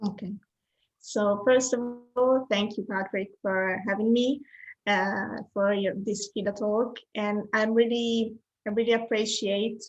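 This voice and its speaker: Speaking at a fairly slow pace with an Italian accent, a woman keeps a fairly high pitch in a monotone, flat intonation. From Italy. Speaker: graphic designer. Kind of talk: interview. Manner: halting.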